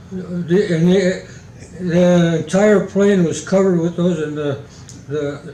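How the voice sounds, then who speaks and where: Noticeable background noise sits behind a man speaking at a very slow pace. His voice is high-pitched, with fairly even intonation. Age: 80s+. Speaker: retired aerospace engineer; war veteran. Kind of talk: interview answer. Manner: halting, hesitant.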